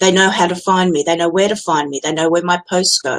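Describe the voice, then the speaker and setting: A woman with an Australian accent speaks at a medium pitch and a moderate pace. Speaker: business automation consultant. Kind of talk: Facebook Live tutorial monologue. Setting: live stream, webcam. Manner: casual, direct.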